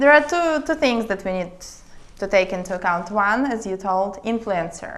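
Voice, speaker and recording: A woman speaks with a Russian accent. Her intonation is lively. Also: medium pitch for a woman, moderate pace. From Siberia, Russia. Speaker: international attorney, startup consultant. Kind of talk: casual interview.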